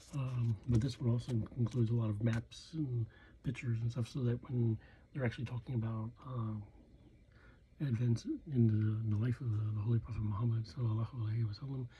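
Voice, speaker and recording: Soft-spoken and somewhat breathy, a man talks with an American accent at a fairly quick pace. His voice is medium in pitch, with a dark, mellow tone. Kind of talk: casual talk to camera. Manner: hesitant, rambling.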